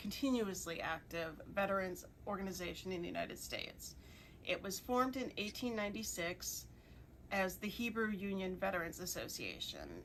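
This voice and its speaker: Room echo is audible as a woman talks at a moderate speed. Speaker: museum director. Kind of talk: pre-recorded presentation. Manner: enunciating carefully.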